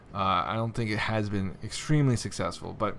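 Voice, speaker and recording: A man speaks in a fairly low voice with ordinary pitch variation, and audible room echo hangs around his words. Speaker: gaming video creator. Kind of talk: tutorial.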